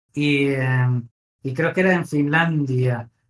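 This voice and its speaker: A man with fairly even intonation. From Spain, Asturias. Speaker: tech community association president. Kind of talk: casual chat. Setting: online audio room.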